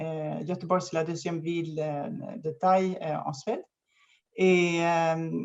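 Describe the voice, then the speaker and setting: A woman speaks very slowly, with long and frequent pauses, a fairly low pitch and fairly even intonation. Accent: Swedish. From Sweden, near Gothenburg. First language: Swedish (speaking French). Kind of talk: interview conversation. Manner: halting, many fillers.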